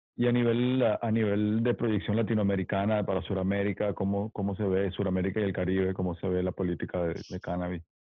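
Fairly quick and monotone, a man talks with a fairly low pitch and flat intonation. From Mérida, Venezuela. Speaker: DJ and podcast co-host. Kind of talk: casual chat.

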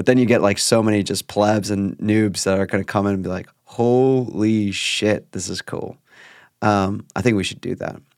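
In a very clean recording with a silent background, a man with a fairly low pitch speaks at a moderate pace in a monotone, flat intonation. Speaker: podcast host. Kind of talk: casual chat.

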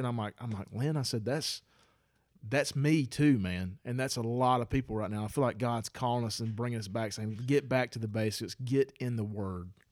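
With a Southern US accent, a man of medium pitch talks at a fairly quick pace and fairly even intonation on a very clean recording with a silent background. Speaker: podcast co-host. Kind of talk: casual chat.

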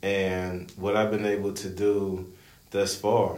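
Audible room echo surrounds a man speaking at a fairly low pitch with an American accent. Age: 30s. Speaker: podcast co-host, recreational basketball player. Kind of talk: casual chat.

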